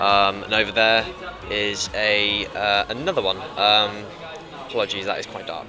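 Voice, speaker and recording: Over noticeable background noise, a man speaks at medium pitch and a moderate pace. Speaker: vlogger and event crew worker. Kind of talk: vlog. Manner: hesitant, many ums.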